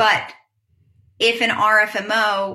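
A woman's bright, sharp tone with vocal fry. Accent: American. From US Northeast, New York City. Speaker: marine science PhD student. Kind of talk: interview.

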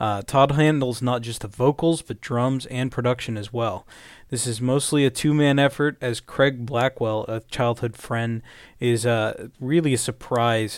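An unremarkable speaking voice from a man at a medium pitch, fairly slow, with fairly even intonation, on a very clean recording with a silent background. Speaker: metal podcast co-host. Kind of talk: casual chat.

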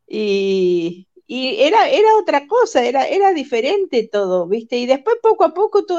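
Against a quiet background, a woman with a high pitch speaks at a moderate pace, her pitch swinging very widely. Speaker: former church member. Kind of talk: casual chat.

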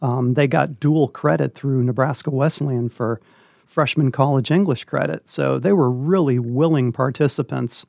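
A man with an American accent has an ordinary speaking voice at a medium pitch with ordinary pitch variation. He keeps a moderate pace against a quiet background. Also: dry, close sound with no echo. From Northern California. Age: 60s. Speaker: retired English teacher and volunteer reader. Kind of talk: interview.

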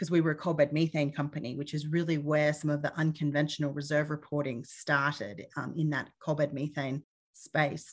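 A woman's very deep, low voice in an Australian accent, monotone and flat, at a fairly quick pace with hardly any pauses, on a very clean recording with a silent background. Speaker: petroleum reserves engineer and consultant. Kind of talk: interview.

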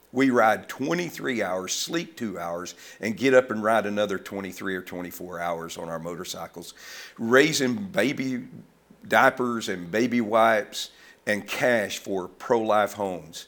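Moving at a fairly slow pace, a man with a fairly low pitch uses lively intonation and big swings in loudness. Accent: Southern US. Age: 70s. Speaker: ministry founder. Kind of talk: casual interview conversation.

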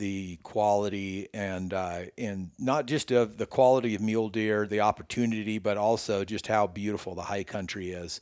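Speaking at a moderate pace with fairly even intonation, the man has a fairly low pitch, and the recording is very clean with a silent background. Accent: American. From Northern California. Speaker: bowyer. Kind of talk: casual interview. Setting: in person, his workshop.

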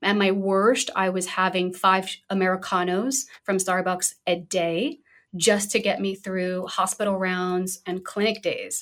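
In a plain, everyday voice of medium pitch, a woman speaks at a fairly slow pace with fairly even intonation and hardly any pauses, on a very clean recording with a silent background. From US Northeast, Brooklyn, New York. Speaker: functional medicine physician. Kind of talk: interview conversation.

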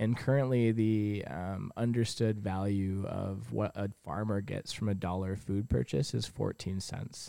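At a fairly slow pace with hardly any pauses, a man with an American accent speaks at a fairly low pitch in a dark, mellow tone with ordinary pitch variation. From US Midwest, Michigan. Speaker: coffee shop owner. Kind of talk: casual interview. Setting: on location in a coffee shop.

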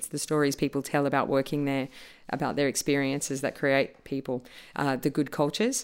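A woman's very deep, low voice holds a monotone, flat intonation on a very clean recording with a silent background. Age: 40s. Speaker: podcast co-host, improviser. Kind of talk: casual chat; scripted outro.

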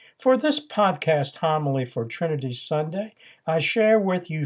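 An ordinary speaking voice from a man, fairly high in pitch with lively intonation at a fairly slow pace, on a very clean recording with a silent background. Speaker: priest and podcast homilist. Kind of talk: fervent prayer, solemn and devout, read aloud in a reverent liturgical tone; sermon-style homily with teaching commentary. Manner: slow, measured and reverent, with a hushed, pleading earnestness.

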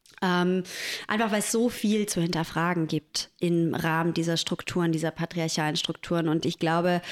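The woman has a plain, everyday voice. She speaks at a moderate pace with a fairly low pitch. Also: very clean recording, silent background. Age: 30s. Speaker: podcast co-host and doula. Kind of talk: casual chat.

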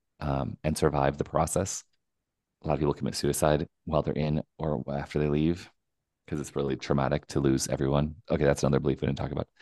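The voice has a dark, mellow tone with vocal fry and moves at a fairly quick pace. The sound is dry and close, with no echo. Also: man. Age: 40s. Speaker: documentary filmmaker. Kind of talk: interview.

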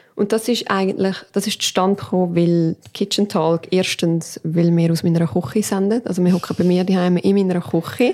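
A woman with an unremarkable speaking voice talks at a moderate pace and a medium pitch. Her pitch variation is ordinary, and there are hardly any pauses. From Canton Aargau, Switzerland, Portuguese family. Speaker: podcast co-host. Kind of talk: casual chat. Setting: home kitchen.

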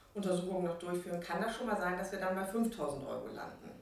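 Against noticeable background noise and audible room echo, a woman speaks at a medium pitch. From northern Germany, Bremerhaven. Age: 50s. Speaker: hospital medical coder, team lead. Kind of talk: interview.

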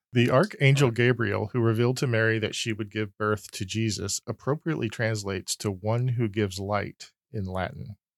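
With an ordinary speaking voice, a man talks at a fairly quick pace and medium pitch, his intonation fairly even, on a very clean recording against a silent background. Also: hardly any pauses. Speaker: quiz host reading questions. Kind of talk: trivia quiz, reading questions.

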